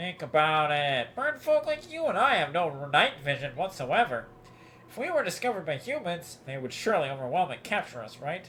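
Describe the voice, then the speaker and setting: A man speaks at a fairly quick pace in a put-on character voice, pitched fairly high for a man. Background noise is clearly audible. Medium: game stream. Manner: smooth, measured.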